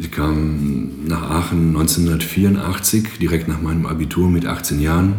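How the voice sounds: An extremely low-pitched man speaks at a moderate pace with a slightly mellow tone and fairly even intonation.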